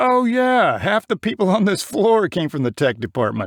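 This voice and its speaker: Here a man performs a put-on character voice at a high pitch with very wide pitch swings. His loudness is very even, and the sound is dry and close with no echo. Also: moderate pace. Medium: read story.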